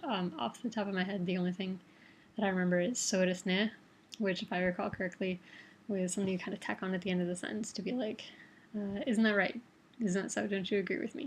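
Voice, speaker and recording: Speaking very fast with an American accent, a woman uses a somewhat breathy, medium-pitched voice and ordinary pitch variation. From Toledo, Ohio, Midwest US. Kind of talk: casual talk to camera.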